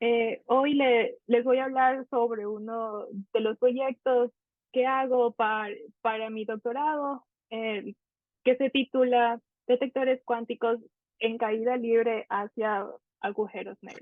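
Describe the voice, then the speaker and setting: At a very slow pace, a woman speaks in a high voice with monotone, flat intonation and big swings in loudness. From Ecuador. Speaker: PhD student in physics. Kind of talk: conference talk. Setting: online conference. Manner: halting.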